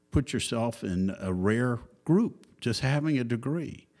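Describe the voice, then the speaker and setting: Slow-paced and lively in intonation, a man speaks with a Southern US accent at a medium pitch. The recording is very clean, with a silent background. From US South, Georgia. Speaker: company chairman and co-founder. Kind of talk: casual interview conversation. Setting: podcast interview.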